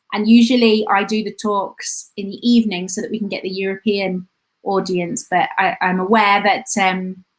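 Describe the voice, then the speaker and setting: A woman at medium pitch and moderate pace, flat and monotone in intonation. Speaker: tourism lecturer. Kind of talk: live online talk. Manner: halting, many fillers.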